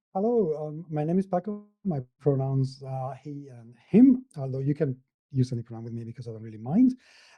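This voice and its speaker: A man speaks at a fairly high pitch, with lively intonation and big swings in loudness. Music plays in the background, and the sound is dry and close, with no echo. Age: 50s. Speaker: tabletop gaming podcaster and blogger. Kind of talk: interview. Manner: hesitant, many fillers.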